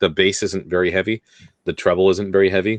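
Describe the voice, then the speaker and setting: A man talks at a very fast pace with fairly even intonation. The sound is dry and close with no echo, and the background is quiet. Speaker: podcast guest. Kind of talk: casual chat. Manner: level, even tone.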